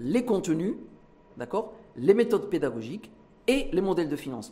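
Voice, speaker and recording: Noticeable background noise accompanies a man talking at a fairly quick pace in a high pitch with very wide pitch swings. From Morocco. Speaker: business leader and foundation president. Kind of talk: TV debate interview.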